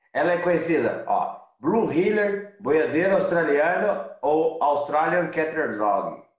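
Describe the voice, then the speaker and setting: A high-pitched man at a very slow pace, with ordinary pitch variation, very even loudness and audible room echo. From interior of São Paulo state, Brazil. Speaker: van-life traveler. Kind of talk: casual interview. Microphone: unstable internet connection.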